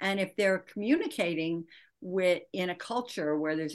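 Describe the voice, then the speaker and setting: A woman speaks with a Midwestern American accent. The background is quiet. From US Midwest, Michigan. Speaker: author and leadership coach. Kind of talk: interview.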